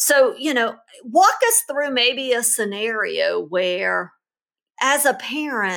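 On a very clean recording with a silent background, a woman speaks very slowly in a high-pitched, bright, sharp tone. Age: 50s. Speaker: parenting podcast host, pediatric expert. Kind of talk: casual chat.

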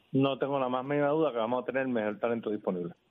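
The voice belongs to a man with a medium pitch. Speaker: basketball federation president. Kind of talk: radio interview. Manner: halting.

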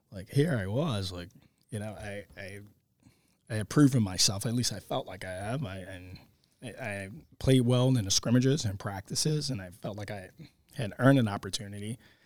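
A man with a plain, everyday voice and an American accent, fairly low in pitch, with ordinary pitch variation, big swings in loudness, a moderate pace, and a very clean recording with a silent background. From Baltimore, Maryland. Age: 30s. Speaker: high school football coach and teacher. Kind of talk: interview. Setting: classroom.

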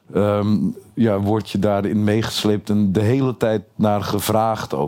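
A man speaks with fairly low pitch and monotone, flat intonation. Noticeable background noise can be heard. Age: 30s. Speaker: comedian. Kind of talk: interview. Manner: halting.

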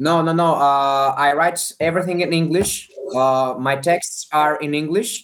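Here a man with a Greek accent speaks fairly slowly, his fairly high voice held to fairly even intonation. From Greece. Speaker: actor and comedian. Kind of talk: interview. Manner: halting.

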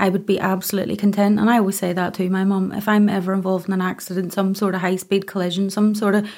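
A woman with a Northern Irish accent speaks very fast in a dark, mellow tone, her intonation flat and monotone. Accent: Northern Irish (Ulster). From Northern Ireland, County Antrim (Ballymena). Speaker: domestic abuse survivor and advocate. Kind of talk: testimony.

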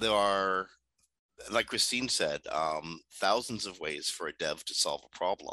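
The speaker is a man who goes fairly slowly. His voice sounds dry and close, with no echo. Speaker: podcast host. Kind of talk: news discussion podcast. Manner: hesitant, filler-heavy.

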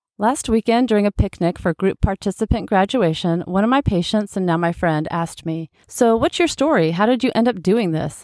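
A woman with an unremarkable speaking voice talks at a fairly quick pace with hardly any pauses, at a medium pitch and with lively intonation. The recording is very clean with a silent background, and the sound is dry and close with no echo. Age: 40s. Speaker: nurse practitioner and health coach podcast host. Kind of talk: solo podcast monologue.

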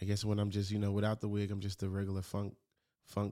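A man's dark, mellow voice, fairly low in pitch, on a very clean recording with a silent background. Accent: American. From Memphis, Tennessee, US South. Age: 30s. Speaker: drummer and music producer. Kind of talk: casual interview chat.

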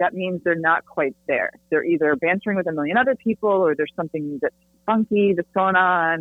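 Using a normal speaking voice, a woman talks at a fairly quick pace with medium pitch and ordinary pitch variation. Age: 50s. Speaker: dating coach and author. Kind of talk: interview.

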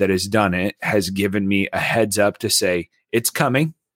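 A normal speaking voice from a man, fairly low in pitch, at a moderate pace with ordinary pitch variation, in a dry, close sound with no echo. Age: 30s. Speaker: podcast co-host. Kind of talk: casual chat.

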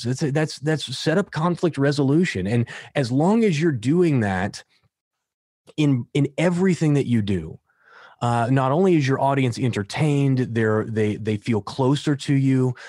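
A man's normal speaking voice with an American accent, lively intonation and a moderate pace, very even in loudness, dry and close with no echo, over a quiet background. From United States. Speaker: entrepreneur and business coach. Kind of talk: interview conversation.

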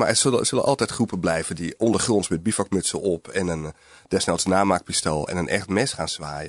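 A man speaks at a fairly low pitch and a fairly quick pace with ordinary pitch variation, recorded with a dry, close sound and no echo. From North Holland, near Alkmaar. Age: 40s. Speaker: journalist. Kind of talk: interview. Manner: halting, many hesitations.

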